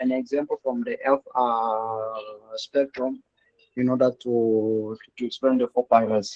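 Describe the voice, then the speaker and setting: The delivery is fairly slow, in a Congolese accent. The intonation stays monotone and flat. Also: man, medium pitch for a man. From DR Congo (Kinshasa). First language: French. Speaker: public health worker, student. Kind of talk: class discussion. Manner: halting.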